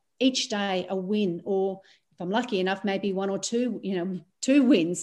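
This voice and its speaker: A woman with an ordinary speaking voice at a medium pitch, with ordinary pitch variation and a quiet background. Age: 50s. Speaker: transformation coach. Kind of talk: casual chat.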